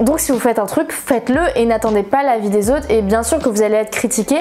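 Over light background noise, a woman with a fairly high pitch talks at a fairly quick pace with ordinary pitch variation. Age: 20s. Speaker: manga YouTuber; manga youtuber. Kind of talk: casual vlog chat. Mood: encouraging, earnest. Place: home room.

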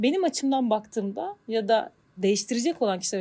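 Very fast delivery comes with lively intonation and a dark, mellow tone. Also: woman. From Turkey, Bandırma. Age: 40s. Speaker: marketing manager. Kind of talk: interview.

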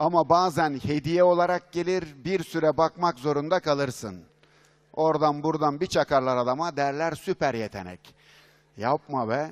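A man's fairly high voice, fairly slow, with ordinary pitch variation against a quiet background. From Turkey. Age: 50s. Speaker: business consultant and speaker; speaker. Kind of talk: conference keynote talk. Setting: stage with audience. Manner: animated. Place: hall. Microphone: headset.

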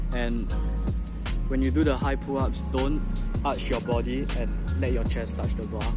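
A man talks at a moderate pace with long, frequent pauses. Loud music plays behind his dry, echo-free voice. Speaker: calisthenics hobbyist. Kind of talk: casual tutorial talk to camera. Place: garden. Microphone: phone near.

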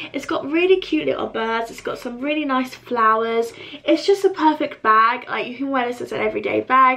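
A woman speaks at a fairly quick pace in a raised, projected voice, her loudness swinging widely while her pitch varies in an ordinary way. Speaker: beauty vlogger. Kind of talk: casual vlog chat. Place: home room.

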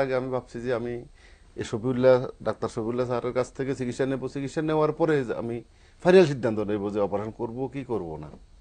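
Here a man speaks at a medium pitch with a dark, mellow tone. His intonation is lively. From Bangladesh. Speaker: patient, migrant worker. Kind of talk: patient testimony. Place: studio. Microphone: lapel.

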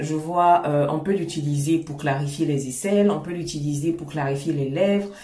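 A woman speaks with a very deep, low pitch and ordinary pitch variation at a moderate pace. Room echo is audible. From Ivory Coast. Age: 30s. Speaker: skincare YouTuber. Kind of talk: casual talk to camera. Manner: warm, friendly.

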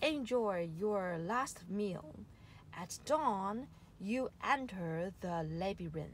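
A loud, booming, bellowing put-on character voice at a middle pitch and a very slow pace, with clear background noise. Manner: booming, harsh.

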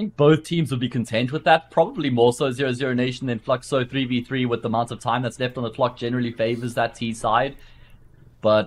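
This man has a plain, everyday voice at medium pitch with ordinary pitch variation. He talks at a fairly quick pace over a quiet background. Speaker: esports commentator. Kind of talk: live esports commentary. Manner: brisk play-by-play.

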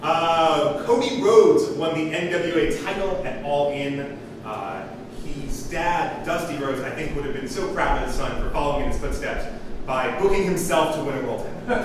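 A man at a moderate pace amid noticeable background noise and strong room echo. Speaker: comedian. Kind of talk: stand-up comedy monologue. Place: stage.

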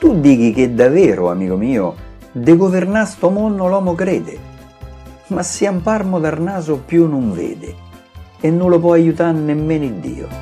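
Over music in the background, a man with a Roman accent speaks at a fairly slow pace and a fairly high pitch, with long, frequent pauses. His tone is playful and his intonation lively. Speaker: poet. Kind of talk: poetry reading. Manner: playful, humorous.

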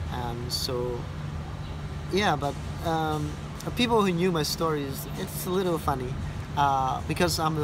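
A man with a Cambodian accent at a moderate pace, long pauses coming often, noticeable noise behind him. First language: Khmer. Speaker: tour guide. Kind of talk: personal testimony of surviving the Khmer Rouge era. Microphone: phone near.

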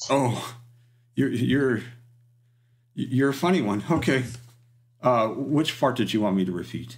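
A man speaks slowly-ish in a put-on character voice, raspy and medium-pitched, with ordinary pitch variation and long, frequent pauses. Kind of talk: customer-service cheer. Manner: eager, polite, chatty.

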